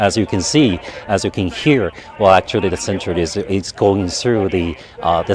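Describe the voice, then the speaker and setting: Against noticeable background noise, a man speaks at a moderate pace in a fairly low pitch. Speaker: TV reporter. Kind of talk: live reporting. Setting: mission control center. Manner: halting; soft-spoken.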